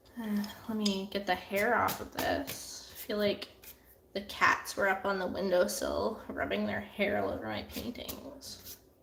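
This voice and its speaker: The speaker has a Canadian accent and a fairly slow pace. Noticeable background noise can be heard. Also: woman. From Canada. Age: 20s. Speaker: artist. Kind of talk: live Q&A stream. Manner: casual, halting with fillers.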